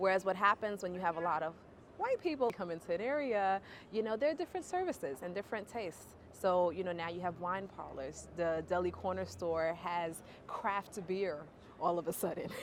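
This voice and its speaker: The speech comes at a fairly quick pace in a New York accent. Pitch variation is ordinary. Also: woman, medium pitch for a woman. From Bedford Stuyvesant, Brooklyn, New York. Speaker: urban planner and professor. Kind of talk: interview answer. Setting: outdoors.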